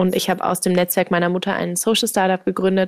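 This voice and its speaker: A woman at a medium pitch, talking at a fairly quick pace, the sound dry and close with no echo. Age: 20s. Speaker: startup founder. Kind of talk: casual interview.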